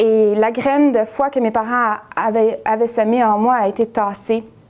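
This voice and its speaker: A woman speaks at a very slow pace in a fairly high pitch. Noticeable background noise runs underneath. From Quebec, Montreal. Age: 30s. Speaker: nurse. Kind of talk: testimony. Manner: halting, many hesitations.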